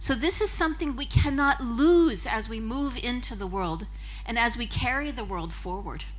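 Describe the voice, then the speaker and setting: A woman speaks at a fairly slow pace, with audible room echo around her. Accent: American. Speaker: yoga teacher. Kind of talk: conference talk.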